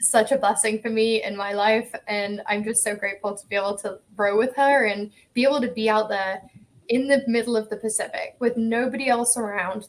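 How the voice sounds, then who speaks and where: Her intonation monotone and flat, a woman with an English accent speaks at a fairly high pitch and a moderate pace. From England. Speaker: ocean rower. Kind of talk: casual interview.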